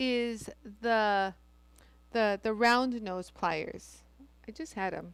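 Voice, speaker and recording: A woman speaks in an animated tone. The recording is very clean, with a silent background. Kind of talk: live-stream tutorial. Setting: live stream. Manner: loud; animated, chatty.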